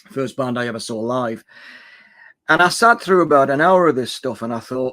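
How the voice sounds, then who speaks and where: On a very clean recording with a silent background, a man with a bright, sharp tone speaks at a medium pitch and a moderate pace with ordinary pitch variation. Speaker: music YouTuber. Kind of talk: casual chat. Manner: casual, hesitant with fillers.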